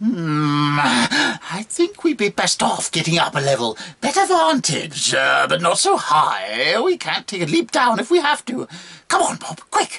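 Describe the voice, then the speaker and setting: High-pitched man in a put-on character voice at a fairly slow pace. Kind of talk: fiction narration with character voices. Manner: chatty, urgent.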